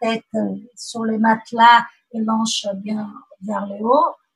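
A woman speaks with a Portuguese accent. Her pitch sits fairly high. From Brazil. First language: Portuguese (speaking French). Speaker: mother sharing birth story. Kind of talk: testimony. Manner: halting.

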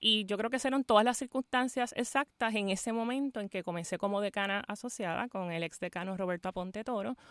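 A woman with a normal speaking voice talks fairly quickly with ordinary pitch variation, in a very clean recording with a silent background and a dry, close sound with no echo. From Puerto Rico, Fajardo. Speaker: law school dean. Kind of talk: radio interview. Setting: radio studio, live.

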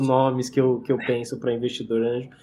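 A man's medium-pitched voice with a dark, mellow tone, on a very clean recording with a silent background. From interior of São Paulo state, Brazil. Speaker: entrepreneur and investor, chemist. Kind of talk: interview. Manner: halting, many repeated words.

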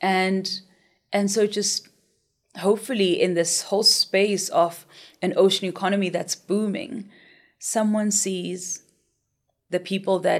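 In a very clean recording with a silent background, a woman speaks at a moderate pace with medium pitch, fairly even intonation, and vocal fry. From South Africa, Soweto. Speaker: freediving instructor. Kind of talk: interview. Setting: studio.

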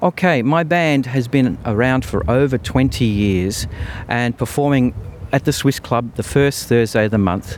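Speaking at a very slow pace, a man keeps a medium pitch, very even loudness and ordinary pitch variation. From Australia, Melbourne. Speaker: band leader and clarinettist. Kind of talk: interview. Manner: halting.

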